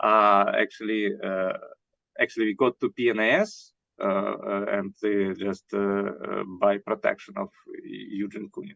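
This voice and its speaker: With a Russian accent, a man talks at a fairly slow pace. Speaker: scientist. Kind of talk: interview. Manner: halting, many fillers.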